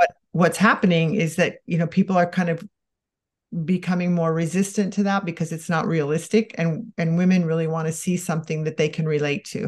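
A somewhat breathy woman at a fairly low pitch, fairly quick pace and fairly even intonation. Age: 60s. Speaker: makeup artist and cosmetics brand founder. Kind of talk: interview.

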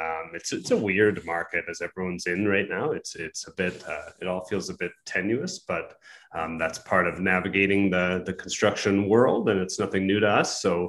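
A man with a Canadian accent has a normal speaking voice, pitched fairly low. He keeps a moderate pace and fairly even intonation against a quiet background. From southwestern Ontario. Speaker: custom home builder. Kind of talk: casual interview.

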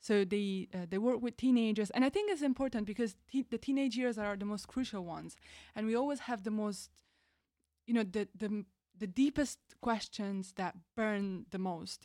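In a very clean recording with a silent background and a dry, close sound with no echo, a woman with an Italian accent speaks at a fairly high pitch in a dark, mellow tone. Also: ordinary pitch variation, moderate pace. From Italy. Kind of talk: casual chat.

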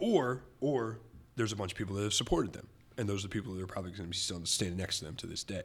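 This man talks very fast in a fairly low register, a little breathy, with ordinary pitch variation. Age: 30s. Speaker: DJ. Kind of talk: casual chat.

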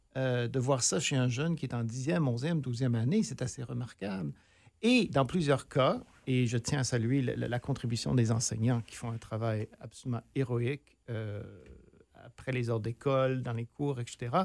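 Very cleanly recorded against a silent background, a man talks in a normal speaking voice at medium pitch. His pace is fairly slow, with ordinary pitch variation. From northern Ontario, near Sudbury. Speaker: theatre director and professor. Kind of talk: casual interview.

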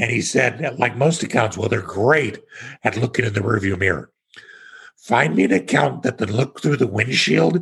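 Speaking at a moderate pace, a man with an American accent uses lively intonation. His medium-pitched voice has vocal fry. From Kansas, US Midwest. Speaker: real estate investor, tax exchange expert. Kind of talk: podcast interview.

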